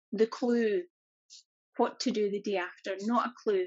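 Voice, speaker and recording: In a Scottish accent, a woman speaks at a moderate pace with a fairly high pitch. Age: 40s. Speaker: corporate employee and holistic business owner. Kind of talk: interview.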